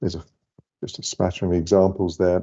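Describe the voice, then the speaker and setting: A very deep, low-pitched male voice with a Scottish accent. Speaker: lighting company director. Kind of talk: webinar presentation.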